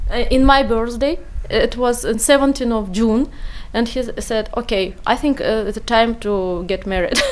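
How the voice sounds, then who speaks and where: A woman talks at a moderate pace in a high pitch with ordinary pitch variation, amid noticeable background noise. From Uzbekistan. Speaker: refugee, former neurologist. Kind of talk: radio interview. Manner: halting.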